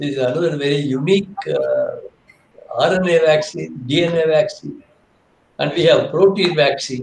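A man speaks at a fairly slow pace. Light background noise and audible room echo are present. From India. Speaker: biochemist; guest lecturer, professor. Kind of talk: lecture. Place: home room. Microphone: video call.

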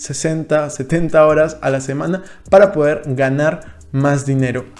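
A man talks at a fairly high pitch. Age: 20s. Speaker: finance youtuber. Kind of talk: vlog monologue. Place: home room. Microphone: studio mic.

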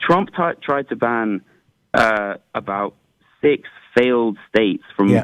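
Speaking at a very slow pace with long, frequent pauses, a man in an English accent keeps a lively intonation. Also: medium pitch for a man. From England. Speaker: caller. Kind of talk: call-in debate. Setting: phone call.

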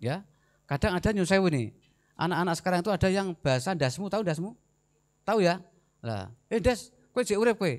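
A man with a Javanese accent speaks very fast in a high, animated voice. He takes long, frequent pauses, and the background is quiet. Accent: Javanese-accented Indonesian. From Central Java, Semarang (Gunung Pati); Central Java, Indonesia. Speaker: army officer; guest. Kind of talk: lecture. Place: hall. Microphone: handheld.

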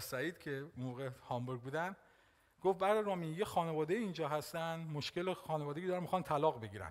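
In a quiet setting, a man speaks very fast, his pitch varying in an ordinary way. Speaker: pastor. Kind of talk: sermon. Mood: warm, smiling, animated. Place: church. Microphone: headset.

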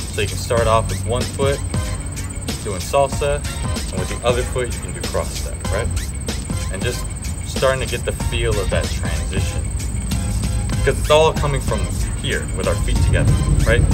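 At a moderate pace, the speech comes with long, frequent pauses over loud music in the background. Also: man. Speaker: dance club instructor. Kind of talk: tutorial. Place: street.

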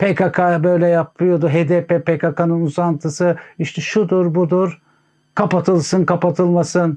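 Over a quiet background, a man speaks in a high voice with a dark, mellow tone. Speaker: political commentator. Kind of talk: political commentary monologue.

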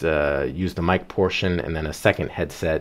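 A man speaking at a moderate pace. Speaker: presenter. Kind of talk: tutorial. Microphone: headset.

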